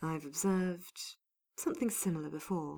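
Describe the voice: Soft-spoken and strained, a woman puts on a character voice with a low pitch, a dark, mellow tone and vocal fry. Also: fairly even intonation, fairly slow pace.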